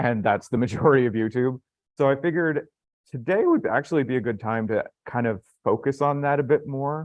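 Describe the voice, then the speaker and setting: A man with an American accent speaks at a fairly high pitch with ordinary pitch variation. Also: fairly quick pace. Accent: American-sounding. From Canada. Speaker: YouTuber and independent filmmaker. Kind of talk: live panel discussion.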